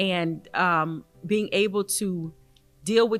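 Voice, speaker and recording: A woman with a Southern US accent talks with ordinary pitch variation as music plays in the background. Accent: Southern twang. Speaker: athletics director. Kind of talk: interview.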